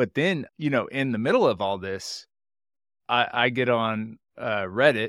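In an unremarkable speaking voice, a man speaks at a moderate pace and medium pitch, the recording very clean with a silent background and a dry, close sound with no echo. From Texas, Houston. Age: 30s. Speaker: accountant and entrepreneur. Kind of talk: interview conversation.

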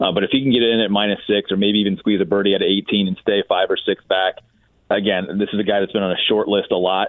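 Speaking very fast, a man with a fairly low voice keeps a monotone, flat intonation at a very even loudness. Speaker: golf broadcaster. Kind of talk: casual chat. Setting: studio. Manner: fast talker.

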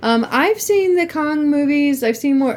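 A woman is speaking at a fairly slow pace. Her pitch variation is ordinary. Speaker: podcast host. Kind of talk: casual chat. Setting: computer microphone at home. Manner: loud.

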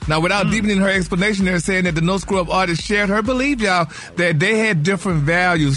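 A man's high-pitched, animated voice with ordinary pitch variation over noticeable background noise. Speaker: gossip segment host. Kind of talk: radio gossip segment, chatty and campy. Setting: studio. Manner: animated, sassy, campy with pet words like honey.

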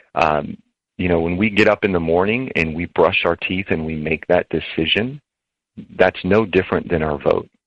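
A man's very deep, low voice at a moderate pace, dry and close with no echo, against a quiet background. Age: 40s. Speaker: presidential candidate. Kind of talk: interview. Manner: halting.

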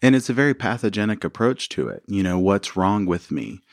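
A man with an American accent speaks fairly quickly in a normal speaking voice, fairly low in pitch, with a dry, close sound with no echo and a quiet background. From US South, rural Arkansas. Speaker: couples therapist. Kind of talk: interview. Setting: studio.

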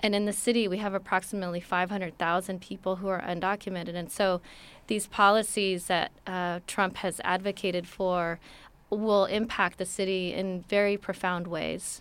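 Woman's monotone, flat voice with medium pitch and an American accent. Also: moderate pace, very clean recording, silent background. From Los Angeles, US. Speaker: city immigrant affairs director. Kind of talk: interview.

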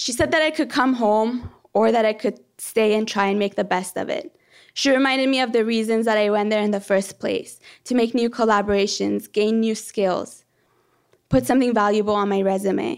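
The speaker has a plain, everyday voice at a moderate pace with ordinary pitch variation. The recording is very clean, with a silent background. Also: woman, fairly high pitch for a woman. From born in Iran, raised in Canada from age 13. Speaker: planetary geology PhD student. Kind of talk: live storytelling.

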